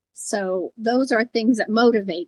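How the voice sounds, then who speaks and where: A woman's fairly high voice with a US Midwestern accent, in a dry, close sound with no echo. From Iowa, US Midwest. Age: 70s. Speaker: former first lady and education advisor. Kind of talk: casual chat. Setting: podcast.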